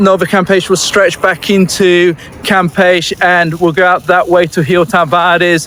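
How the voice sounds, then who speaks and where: Over noticeable background noise, the speaker keeps a monotone, flat intonation at a moderate pace. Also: man. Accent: British. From UK. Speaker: real estate agent. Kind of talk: walking tour vlog. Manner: casual, hesitant with fillers.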